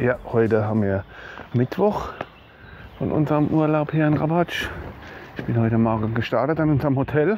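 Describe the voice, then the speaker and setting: A man speaks at a moderate pace under light background noise. The sound is dry, with no echo. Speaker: hiker vlogger. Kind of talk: casual vlog chat. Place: open country. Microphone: phone near.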